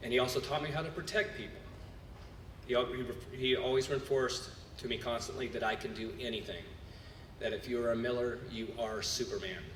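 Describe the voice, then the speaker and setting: A man's medium-pitched voice at a moderate pace with ordinary pitch variation, audible room echo and noticeable background noise. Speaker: cheer gym owner and coach. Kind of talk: award acceptance speech. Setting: gala stage with audience. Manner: loud.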